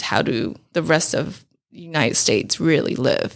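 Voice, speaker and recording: A woman's fairly low voice with a Mandarin accent, at a moderate pace, in a very clean recording with a silent background. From Taiwan (Taipei). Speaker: food blogger and event organizer. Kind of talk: interview.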